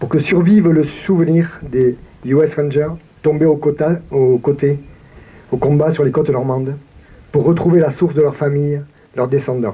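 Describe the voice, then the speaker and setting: At a moderate pace, the speaker talks with fairly even intonation in a southern French accent. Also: man. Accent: regional southern French. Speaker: town mayor. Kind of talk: commemorative speech. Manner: formal.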